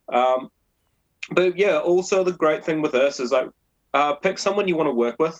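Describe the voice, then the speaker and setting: Long, frequent pauses break up moderate-paced speech with ordinary pitch variation in a New Zealand accent. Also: man, fairly high pitch for a man. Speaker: brewer, brewery co-founder. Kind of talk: interview.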